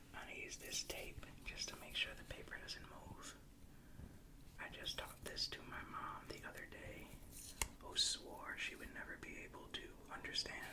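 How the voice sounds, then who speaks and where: A whispering voice in a relaxed tone keeps a moderate pace over noticeable background noise. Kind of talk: ASMR tutorial, casual talk to camera. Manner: soft-spoken, whispery, relaxed.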